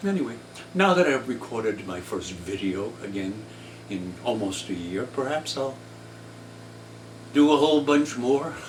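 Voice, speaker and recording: A man with a medium pitch talks at a moderate pace, making very wide pitch swings and long, frequent pauses. Noticeable background noise and audible room echo are present. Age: 80s+. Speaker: artist and playwright. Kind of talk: casual monologue. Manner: halting.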